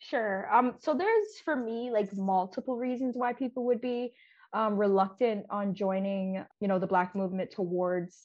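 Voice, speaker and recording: A woman with an ordinary speaking voice speaks at a moderate pace, medium in pitch with ordinary pitch variation. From Canada. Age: 20s. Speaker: podcast guest, activist. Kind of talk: casual chat.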